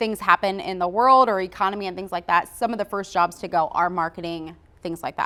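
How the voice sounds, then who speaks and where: This is a normal speaking voice. The intonation stays fairly even. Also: woman. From US, Philadelphia. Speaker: marketing business owner. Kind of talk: podcast interview.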